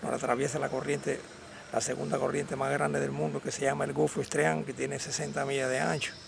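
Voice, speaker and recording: The speech moves at a very fast pace with very wide pitch swings. Noticeable background noise runs underneath. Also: man, very deep, low pitch for a man. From Cuba, Havana. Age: 70s. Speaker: Cuban exile, hauler. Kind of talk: interview testimony.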